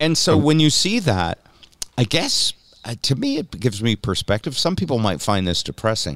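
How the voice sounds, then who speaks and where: Vocal fry colors a man's speech as he moves at a moderate pace through very wide pitch swings. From New England. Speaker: podcast host. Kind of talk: casual chat.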